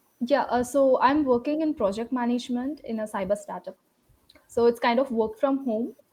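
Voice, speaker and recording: In an Indian accent, a woman with a high pitch speaks at a moderate pace with fairly even intonation. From South India, Tamil Nadu. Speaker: English learner, project manager. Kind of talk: casual conversation lesson. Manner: hesitant, many fillers.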